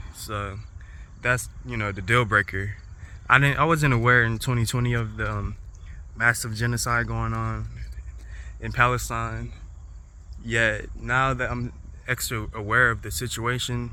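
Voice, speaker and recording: A man talks at a fairly slow pace, with long, frequent pauses. Audible room echo surrounds his voice. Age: 20s. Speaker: vlogger. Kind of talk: casual vlog monologue. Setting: outdoors in a boulder garden. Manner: halting, many fillers.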